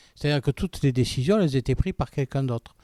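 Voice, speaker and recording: A man's dark, mellow voice with lively intonation, dry and close with no echo. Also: very clean recording, silent background. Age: 60s. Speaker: local election candidate. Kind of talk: political interview.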